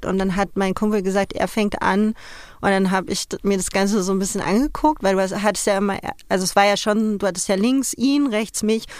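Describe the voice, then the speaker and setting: In an ordinary speaking voice, a woman talks at a fairly quick pace and medium pitch with ordinary pitch variation, recorded very cleanly against a silent background. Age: 30s. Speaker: interviewee, former magazine nude model. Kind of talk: interview.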